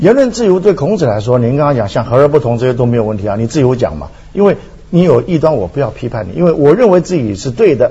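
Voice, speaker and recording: With very wide pitch swings, a man talks very fast at a fairly high pitch. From Taiwan. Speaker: philosophy professor. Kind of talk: talk show discussion.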